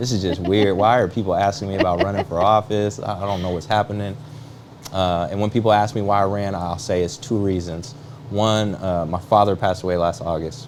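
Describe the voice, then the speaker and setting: Against noticeable background noise, a man with an American accent talks at a fairly quick pace, fairly low in pitch with ordinary pitch variation. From US Pacific Northwest, Seattle area. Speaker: real estate agent and political candidate. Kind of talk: talk show interview.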